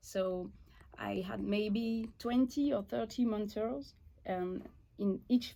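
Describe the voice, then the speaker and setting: A woman with a French accent speaks in a dark, mellow tone with ordinary pitch variation. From eastern France. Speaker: watchmaker and business owner. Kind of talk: interview. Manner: halting.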